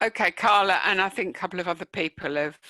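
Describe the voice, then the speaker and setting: Lively intonation and a bright, sharp tone in a dry, close sound with no echo. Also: woman. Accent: London. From East London, England. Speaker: professor, online learning expert. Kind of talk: Q&A at online conference talk. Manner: hesitant, many fillers.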